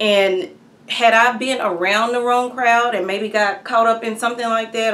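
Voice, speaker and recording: A fairly high-pitched woman with an American accent at a moderate pace, ordinary pitch variation and audible room echo. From Texas, Hearn. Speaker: activist telling her legal story. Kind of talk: testimony. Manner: halting, many fillers.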